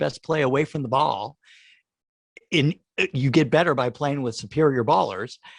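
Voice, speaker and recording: Against a quiet background, a man with vocal fry speaks at a moderate pace and fairly high pitch, the sound dry and close with no echo. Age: 60s. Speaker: TV composer and musician. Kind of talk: interview.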